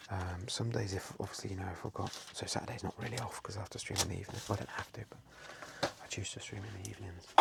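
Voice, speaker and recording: The voice is soft-spoken and moves at a very fast pace. Noticeable background noise is present. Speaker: online card seller and streamer. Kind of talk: softly spoken ASMR talk.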